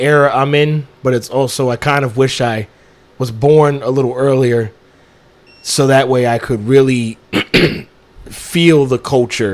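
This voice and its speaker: A medium-pitched man at a fairly slow pace with fairly even intonation. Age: 20s. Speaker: podcast co-host. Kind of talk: casual chat.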